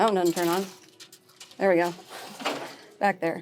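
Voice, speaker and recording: A woman's voice with music in the background. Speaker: lifestyle vlogger. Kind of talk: casual shopping vlog. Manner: fast; animated.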